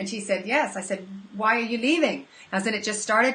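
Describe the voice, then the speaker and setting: The woman's speech, fairly quick and with ordinary pitch variation, runs over noticeable background noise. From Canada. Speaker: counsellor and business owner. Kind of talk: interview. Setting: call. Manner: hesitant with many fillers.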